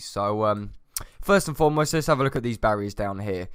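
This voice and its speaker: Speaking at a fairly quick pace in a British accent, a man with a fairly low pitch and ordinary pitch variation comes through on a very clean recording with a silent background. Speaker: gaming youtuber. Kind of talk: gameplay commentary.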